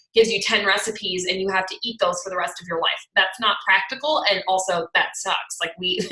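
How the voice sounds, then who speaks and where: Noticeable background noise sits behind a woman's medium-pitched voice. She speaks at a fairly quick pace with ordinary pitch variation. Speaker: fitness coach. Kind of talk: webinar presentation. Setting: video call. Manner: fast; animated.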